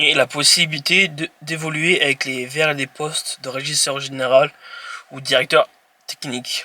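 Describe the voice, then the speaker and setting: A man's fairly high voice, flat and monotone, at a fairly slow pace, with big jumps in loudness and a dry, close sound free of echo. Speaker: YouTuber presenting jobs. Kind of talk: informational presentation read from notes. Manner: halting, with hesitations and self-corrections.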